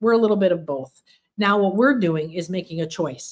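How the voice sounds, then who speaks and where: A woman with a normal speaking voice, a fairly low pitch and ordinary pitch variation. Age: 60s. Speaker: spiritual teacher. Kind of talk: livestream workshop talk. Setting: livestream.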